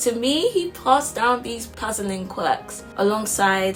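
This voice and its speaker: A woman talks at a fairly slow pace. Behind her, music is playing. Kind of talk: spoken word poetry performance.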